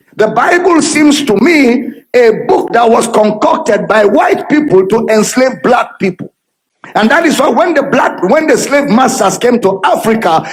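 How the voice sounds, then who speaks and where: Shouting, a man's voice climbs to an extremely high pitch. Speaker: preacher. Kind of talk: sermon. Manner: loud, shouting; animated.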